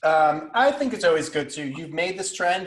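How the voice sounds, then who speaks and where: Against a quiet background, a man speaks with an American accent. He keeps a moderate pace. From New York (Brooklyn, Westchester); New York. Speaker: food content creator; live stream host. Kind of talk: casual chat. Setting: Instagram live stream. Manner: animated, talks with hands. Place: kitchen. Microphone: video call.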